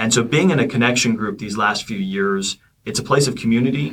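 Speaking at a moderate pace, a man has medium pitch, ordinary pitch variation and an unremarkable speaking voice. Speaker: church class leader, father. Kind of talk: casual interview chat.

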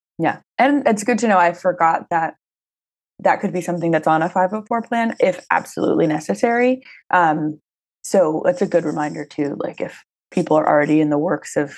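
A woman with vocal fry and a fairly low pitch talks at a fairly quick pace with lively intonation. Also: quiet background. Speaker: podcast host. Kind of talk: interview. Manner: casual.

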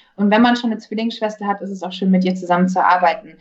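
In a normal speaking voice, this woman keeps to a medium pitch and ordinary pitch variation. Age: 20s. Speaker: actress. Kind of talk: casual chat.

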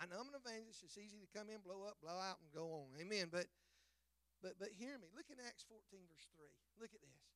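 Fairly quick delivery with a Southern US accent and ordinary pitch variation. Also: man. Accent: US South. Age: 50s. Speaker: evangelist. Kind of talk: sermon. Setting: church. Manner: animated.

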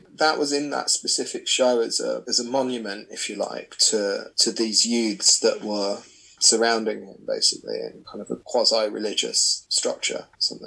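Big swings in loudness mark a man speaking at a moderate pace in a southern English accent. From south coast of England. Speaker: artist. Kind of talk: interview.

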